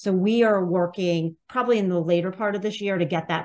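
A woman with an American accent uses a normal speaking voice, fairly low in pitch, with ordinary pitch variation at a fairly quick pace. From Pennsylvania, US. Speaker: political activist organizer. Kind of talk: interview.

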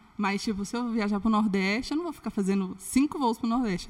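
A woman's very fast speech with ordinary pitch variation, against noticeable background noise. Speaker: former flight attendant turned comedy influencer. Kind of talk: casual chat.

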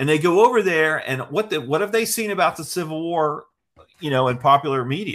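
An unremarkable speaking voice from a man, fairly high and fairly quick, with lively intonation on a very clean recording with a silent background. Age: 60s. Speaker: history magazine editor. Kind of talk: casual interview.

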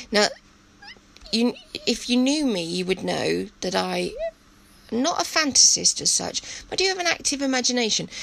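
A woman with an English accent speaks at a moderate pace with long, frequent pauses over noticeable background noise. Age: 50s. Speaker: podcast host. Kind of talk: personal monologue. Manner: hesitant, many fillers.

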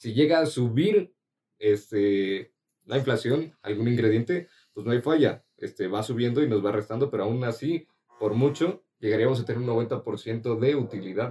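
A man speaks at a medium pitch and a fairly slow pace with ordinary pitch variation. His tone is dark and mellow, somewhat breathy. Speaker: podcast co-host and student. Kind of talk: casual chat.

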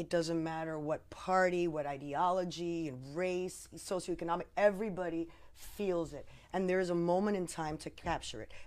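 On a very clean recording with a silent background, a woman with an unremarkable speaking voice talks at a moderate pace in a fairly low voice, with fairly even intonation and big swings in loudness. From New Jersey. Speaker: lawyer. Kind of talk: casual political discussion.

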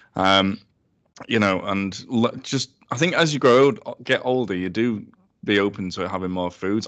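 A man speaks with a Yorkshire accent and ordinary pitch variation. The background is quiet. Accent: Sheffield Yorkshire English. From Sheffield, South Yorkshire. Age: 30s. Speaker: food business co-founder. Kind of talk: casual chat.

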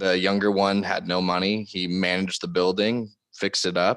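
With a Californian accent, a man speaks in a very deep, low, monotone voice with flat intonation on a very clean recording with a silent background. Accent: Californian American. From Southern California. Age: 20s. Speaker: real estate developer. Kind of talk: interview.

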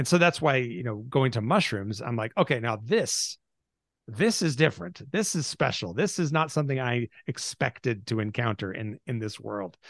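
A man with an American accent and a normal speaking voice, medium in pitch, with lively intonation at a moderate pace over a quiet background. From US Pacific Northwest (Seattle area). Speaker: podcast co-host. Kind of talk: casual chat.

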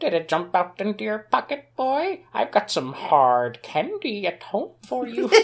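A put-on character voice, fairly high in pitch, at a moderate pace with hardly any pauses. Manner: scolding.

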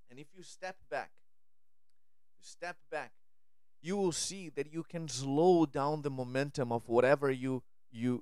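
Speaking at a fairly slow pace, a man shows big swings in loudness and ordinary pitch variation. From Brazil. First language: Portuguese. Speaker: podcast host and spiritual speaker. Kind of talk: spiritual monologue. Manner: halting, frequent repetitions and fillers.

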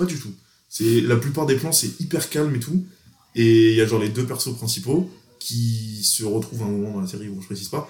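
Very fast, somewhat breathy speech from a man. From France, Grenoble. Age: 20s. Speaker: exchange student. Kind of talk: casual chat.

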